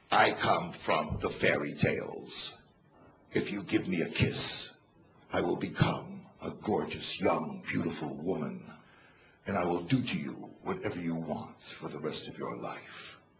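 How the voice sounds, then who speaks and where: A man's croaky, put-on character voice at a moderate pace. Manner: coaxing, seductive.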